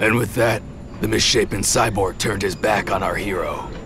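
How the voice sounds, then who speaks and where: Through loud background noise, a man does a put-on character voice at a fairly low pitch. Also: moderate pace. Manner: theatrical, heroic superhero-style.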